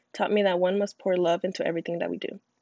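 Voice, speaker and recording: The woman's voice is at a medium pitch, and the background is quiet. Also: dry, close sound with no echo. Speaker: podcast host. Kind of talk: scripted student podcast.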